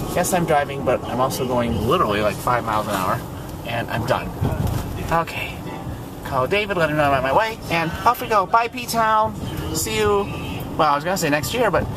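The sound is dry with no echo, over noticeable background noise. Long, frequent pauses break up the speech. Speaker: vlogger. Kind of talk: casual vlog chat. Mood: cheerful, relieved. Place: car. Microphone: phone near.

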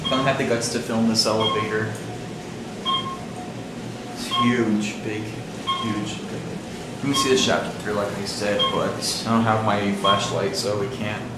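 Over loud background noise and audible room echo, a man talks at a fairly slow pace. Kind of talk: casual vlog commentary. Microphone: phone near.

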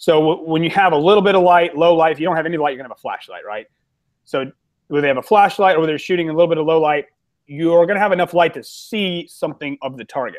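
Very fast talk from a man with a high pitch and an American accent, ordinary pitch variation and big swings in loudness. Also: quiet background. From Ohio, US Midwest. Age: 30s. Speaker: competitive shooter and firearms instructor; podcast guest, shooting instructor. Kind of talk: casual interview chat. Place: home room. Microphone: video call.

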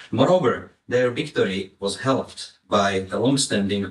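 Audible room echo around a somewhat breathy man's voice, moderate in pace and with normal pitch movement. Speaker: conference speaker. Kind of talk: lecture. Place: hall.

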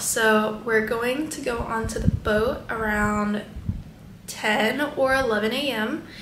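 Audible room echo and light background noise accompany the recording. A woman speaks with fairly even intonation. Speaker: travel vlogger. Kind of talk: casual vlog chat. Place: home room. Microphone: phone near.

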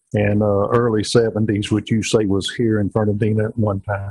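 Against a quiet background, a man with a Southern US accent sounds somewhat breathy, the recording dry with no echo. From Amelia Island, Florida. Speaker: host, retired firefighter. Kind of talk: casual interview talk. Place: workshop. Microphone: lapel.

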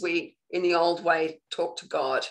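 Against a quiet background, a woman speaks with an Australian accent. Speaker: spiritual coach. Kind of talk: live online training talk. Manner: casual, conversational.

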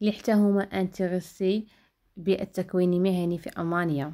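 Her tone is dark and mellow. This woman speaks at a fairly low pitch. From Morocco, El Jadida. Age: 20s. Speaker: vlogger, vocational trainee. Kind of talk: vlog monologue. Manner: halting, frequent 'ah' fillers.

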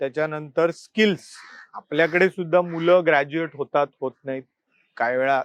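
This man has an ordinary speaking voice, fairly high in pitch, with fairly even intonation and a dry, close sound with no echo. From Mumbai, Worli. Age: 40s. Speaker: newspaper editor and political candidate. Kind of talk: interview.

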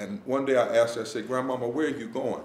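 There is light background noise and audible room echo. A man speaks at a fairly quick pace. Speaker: visiting preacher. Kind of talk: sermon. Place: hall.

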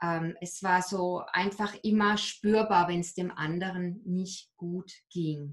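Somewhat breathy, a woman's voice moves along at a very slow pace. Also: quiet background. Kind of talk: interview answer. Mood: reflective, personal, hesitant. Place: home room. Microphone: video call.

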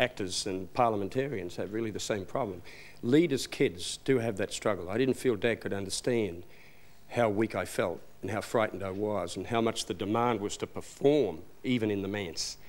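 Talking at a fairly quick pace, a man with an Australian accent has a fairly low pitch and ordinary pitch variation. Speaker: minister of religion and chaplain to bikers; minister of religion. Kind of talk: TV interview. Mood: earnest, reflective. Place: studio.

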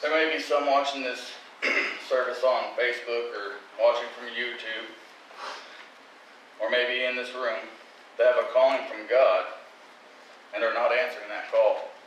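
The speaker talks at a moderate pace with long, frequent pauses and big swings in loudness. Audible room echo and light background noise are present. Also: man. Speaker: lay preacher. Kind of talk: sermon. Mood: earnest, confessional. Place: church. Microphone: podium.

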